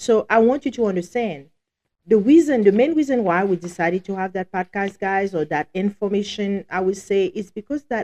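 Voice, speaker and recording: In a strong Haitian accent, a woman speaks with lively intonation, the sound dry and close with no echo. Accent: heavy Haitian. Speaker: podcast co-host, law office staff. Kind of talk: casual live podcast talk. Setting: live show.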